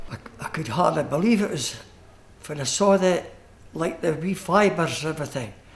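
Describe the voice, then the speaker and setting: Speaking with an East Lothian accent and some vocal fry, a man keeps a moderate pace and ordinary pitch variation. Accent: Scottish, East Lothian. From Scotland, East Lothian (Tranent); Scotland. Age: 70s. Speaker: retired coal miner; interviewee. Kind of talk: interview. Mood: amazed, warm, modest. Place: studio.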